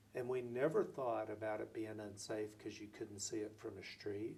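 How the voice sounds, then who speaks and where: An American accent from a man, somewhat breathy, at a moderate pace with ordinary pitch variation. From Oklahoma (Lawton). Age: 60s. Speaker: city mayor. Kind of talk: interview.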